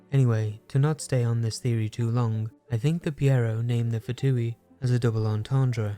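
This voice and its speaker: With music in the background, a man speaks at medium pitch and a moderate pace with fairly even intonation. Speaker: game lore video creator. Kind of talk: lore explainer narration.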